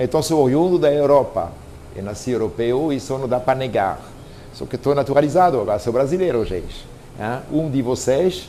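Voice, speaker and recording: Someone with a French accent speaks at a moderate pace with ordinary pitch variation over noticeable background noise. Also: man, fairly high pitch for a man. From France, Normandy. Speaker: pastry chef. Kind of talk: personal story to camera. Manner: casual, conversational.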